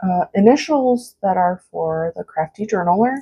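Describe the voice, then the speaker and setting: A woman speaks at a medium pitch with a dark, mellow tone and a somewhat breathy quality, in a dry, close sound with no echo. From United States, Mexican-American family. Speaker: craft YouTuber. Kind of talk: product flip-through tutorial. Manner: casual, filler-heavy.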